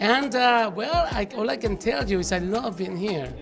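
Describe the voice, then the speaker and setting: With clear music in the background, a man with a high pitch talks at a moderate pace, his pitch varying in an ordinary way. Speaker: actor, guest. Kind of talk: interview answer. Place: hall. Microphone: handheld.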